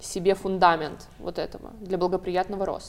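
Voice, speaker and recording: A woman with an unremarkable speaking voice talks fairly quickly at a medium pitch. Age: 20s. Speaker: psychologist-sexologist. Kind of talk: talk-show discussion.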